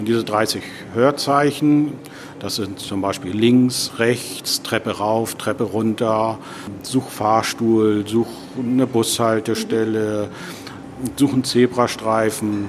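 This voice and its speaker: At a very slow pace, a man speaks at a medium pitch with fairly even intonation over noticeable background noise. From Hamburg, northern Germany. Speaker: chair of a guide dog association, blind. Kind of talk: interview. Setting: restaurant.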